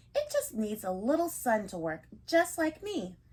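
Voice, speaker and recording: A woman puts on a character voice pitched high. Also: moderate pace. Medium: read story.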